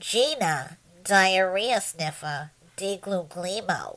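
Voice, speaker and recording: A female-sounding, put-on character voice with a Jersey accent comes through nasal and medium in pitch. The delivery is very slow. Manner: comic, silly.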